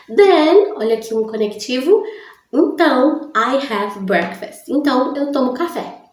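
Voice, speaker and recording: Very slow and with very wide pitch swings, a woman's high-pitched voice carries audible room echo. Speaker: English teacher. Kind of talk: tutorial. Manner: slow, deliberate.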